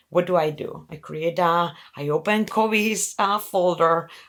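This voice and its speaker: In a Spanish accent, a woman speaks at a fairly low pitch and a fairly slow pace with fairly even intonation, on a very clean recording with a silent background. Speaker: venture capital investor. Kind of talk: interview conversation.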